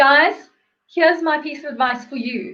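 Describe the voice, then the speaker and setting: This woman has a bright, sharp, animated tone, and her pitch varies in an ordinary way. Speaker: interviewer and self-love coach. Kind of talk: casual interview. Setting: live video stream. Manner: fast.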